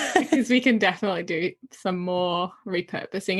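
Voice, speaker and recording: Her medium pitch carrying ordinary variation, a woman speaks at a fairly quick pace. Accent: slight non-native. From Netherlands. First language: Dutch. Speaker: podcast host. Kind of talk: casual interview chat. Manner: animated.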